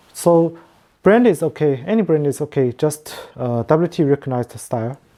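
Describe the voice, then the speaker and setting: Speaking at a fairly slow pace with lively intonation, a woman with a non-native accent has a very deep, low pitch and a dark, mellow tone. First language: not English. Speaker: competition organizer. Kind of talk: online meeting presentation. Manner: halting, many fillers.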